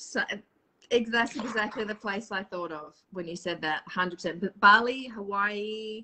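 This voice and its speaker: With an Australian accent, a woman speaks at a moderate pace. Her pitch is fairly high, with ordinary variation. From Australia, Perth. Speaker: spiritual live streamer. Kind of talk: casual chat. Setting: live video stream.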